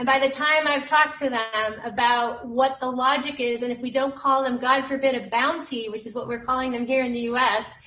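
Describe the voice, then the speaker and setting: Over noticeable background noise, a woman with a high pitch talks in a raised, projected voice at a fairly quick pace. Her intonation is monotone and flat, and she hardly pauses. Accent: American. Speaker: whistleblower lawyer. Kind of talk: panel discussion.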